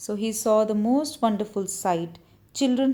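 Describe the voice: Plain reading aloud with ordinary pitch variation.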